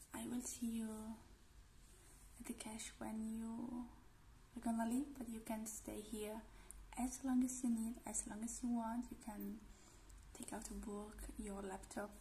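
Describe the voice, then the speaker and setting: A soft-spoken woman talks at a fairly slow pace with a gentle tone and monotone, flat intonation. Long, frequent pauses break her speech over light background noise. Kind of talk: role-play, soft spoken to viewer. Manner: soft, gentle ASMR voice. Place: home room. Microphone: phone near.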